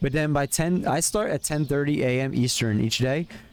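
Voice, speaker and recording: A man's medium-pitched voice with a Philadelphia accent. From US, Pennsylvania (Philadelphia area). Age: 30s. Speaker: streamer. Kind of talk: casual chat. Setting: live stream. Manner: fast. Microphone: new earbuds and mic.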